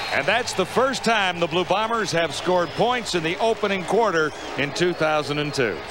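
Speaking at a moderate pace, a man with a high voice keeps very even loudness and ordinary pitch variation, the sound dry with no echo amid noticeable background noise. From Canada. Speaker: play-by-play announcer. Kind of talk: live commentary. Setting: stadium broadcast booth.

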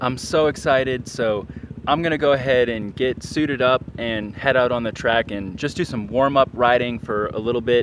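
Against light background noise, a man speaks at a moderate pace with ordinary pitch variation, the sound dry with no echo. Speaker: motorcycle vlogger. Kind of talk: casual vlog chat. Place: stadium. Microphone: phone near.

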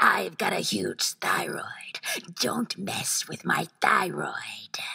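A woman puts on a cartoonish character voice with a raspy edge. She draws out her words at a very slow pace. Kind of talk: animation voice-over. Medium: voice reel.

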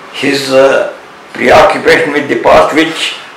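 Audible room echo with light background noise. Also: man. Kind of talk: interview answer. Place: home room.

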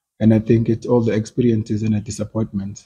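A man speaks in a dark, mellow tone that is somewhat breathy, with monotone, flat intonation. Light background noise runs underneath. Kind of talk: interview answer. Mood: calm, earnest. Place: hall. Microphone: handheld.

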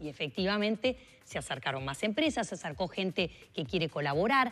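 This voice has a Uruguayan accent, very wide pitch swings and vocal fry. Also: woman. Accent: Rioplatense Spanish (Uruguay). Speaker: politician, mayoral candidate; politician, candidate. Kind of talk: radio interview. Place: studio. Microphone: lapel.

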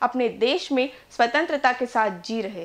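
A woman's high-pitched voice with a fairly bright tone

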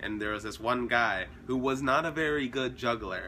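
Light background noise runs under a man's voice with a bright, sharp tone. He talks at a moderate pace with ordinary pitch variation. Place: home room. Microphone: phone near.

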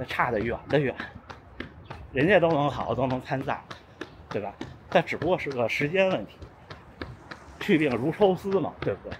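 Amid noticeable background noise, a man talks at a moderate pace with lively intonation, big swings in loudness, and long, frequent pauses. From northern China. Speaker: running vlogger; runner vlogger. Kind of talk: casual vlog talk. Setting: outdoors. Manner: walking while talking. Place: street. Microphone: phone near.

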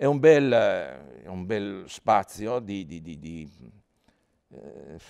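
The tone is dark and mellow, with lively intonation. The background is quiet. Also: man. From Italy. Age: 70s. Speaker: scientist and public speaker on space; public speaker. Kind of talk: public lecture. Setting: theatre stage with audience. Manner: informal, conversational. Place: hall.

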